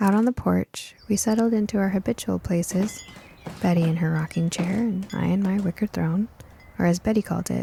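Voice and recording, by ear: A woman's medium-pitched voice at a moderate pace, with vocal fry, a slightly husky edge and a dark, mellow tone. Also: ordinary pitch variation.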